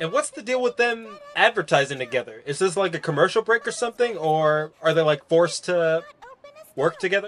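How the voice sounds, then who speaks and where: Over light background noise, a man talks at a fairly quick pace with very wide pitch swings. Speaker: streamer. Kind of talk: casual reaction commentary. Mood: puzzled, questioning. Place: home room.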